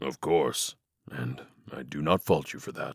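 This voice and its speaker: A man puts on a raspy character voice with very deep, low pitch and a moderate pace. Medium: audio drama. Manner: calm, gentle.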